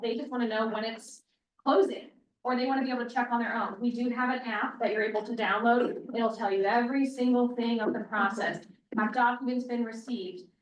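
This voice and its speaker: In a room with audible echo, a woman with a high voice speaks at a fairly quick pace. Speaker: loan officer. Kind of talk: sales pitch. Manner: soft-spoken.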